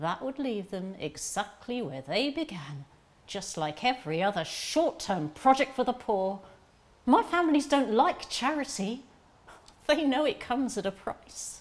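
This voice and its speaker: Her high pitch moves in very wide swings as the woman speaks at a fairly slow pace. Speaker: actor in a monologue. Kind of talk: dramatic monologue addressed to a listener. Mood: earnest, gently defiant. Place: garden.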